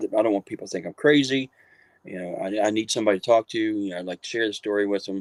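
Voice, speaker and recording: An Appalachian accent in a dry, close sound with no echo. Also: man. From West Virginia, Marion County. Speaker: author and paranormal researcher. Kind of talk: interview storytelling.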